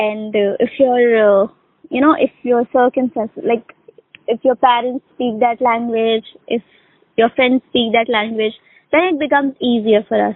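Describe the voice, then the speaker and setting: Her pitch is high, and her intonation is fairly even. The woman speaks at a moderate pace with a Pakistani accent. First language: Urdu. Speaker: English conversation tutor. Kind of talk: casual conversation practice. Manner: hesitant, many fillers.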